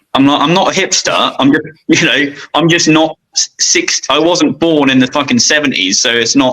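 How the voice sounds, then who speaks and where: A man with a plain, everyday voice speaks at a moderate pace with hardly any pauses, his fairly high pitch showing ordinary variation and his loudness very even. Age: 30s. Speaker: custom motorcycle shop owner. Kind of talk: casual chat.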